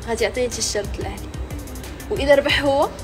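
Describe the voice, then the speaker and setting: High-pitched woman with a Moroccan accent at a moderate pace, clear music in the background. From Morocco. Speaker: challenge host. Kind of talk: casual game-show banter. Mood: playful, teasing.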